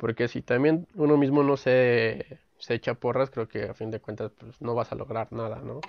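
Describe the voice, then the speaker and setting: This man keeps a mid-range pitch and fairly level intonation at a middling tempo. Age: 20s. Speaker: podcast host, sociology graduate. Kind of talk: casual chat. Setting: video call from home. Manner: halting, repeats words.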